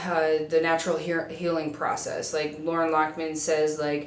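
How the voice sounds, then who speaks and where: A woman speaks with an American accent. Audible room echo and noticeable background noise surround her. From US Midwest, South Dakota. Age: 20s. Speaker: vlogger. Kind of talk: casual vlog monologue. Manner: fast.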